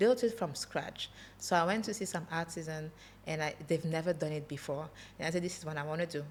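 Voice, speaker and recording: A woman with a French accent, fairly low in pitch and somewhat breathy, at a fairly quick pace with ordinary pitch variation. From France (Paris), Congolese heritage. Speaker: entrepreneur. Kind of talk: podcast interview. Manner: halting, searches for English words.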